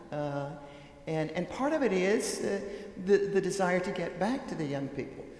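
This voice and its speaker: Audible room echo surrounds the voice. Noticeable background noise can also be heard. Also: woman. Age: 80s+. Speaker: author and speaker on church. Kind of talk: panel discussion. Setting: stage with audience in chapel. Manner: halting, many fillers and restarts.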